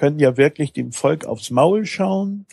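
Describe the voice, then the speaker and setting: A man's dark, mellow tone at a moderate pace. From Hamburg, northern Germany. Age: 50s. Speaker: taxi driver, former software entrepreneur. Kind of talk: podcast interview.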